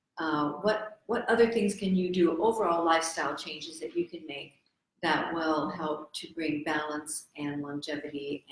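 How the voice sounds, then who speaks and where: With an American accent, a woman speaks at a moderate pace in a very deep, low voice. Her pitch varies in an ordinary way, while her loudness swings a lot. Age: 60s. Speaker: medical doctor. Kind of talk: health talk show. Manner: hesitant with fillers.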